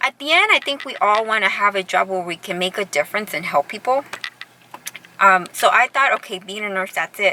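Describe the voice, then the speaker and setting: Her intonation lively, a woman with a medium pitch speaks at a fairly quick pace in a dry, close recording with no echo but noticeable background noise. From Southern California, Orange County. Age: 40s. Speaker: vlogger. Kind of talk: casual vlog monologue. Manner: conversational, many fillers and restarts.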